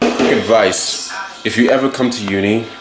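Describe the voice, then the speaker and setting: A man speaks at a very slow pace. Noticeable background noise runs underneath. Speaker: student vlogger. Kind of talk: casual vlog chat. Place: home room. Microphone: phone near.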